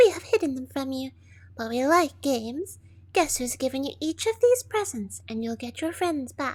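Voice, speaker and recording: A put-on character voice, female-sounding, high-pitched for a woman, at a moderate pace. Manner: playful, teasing.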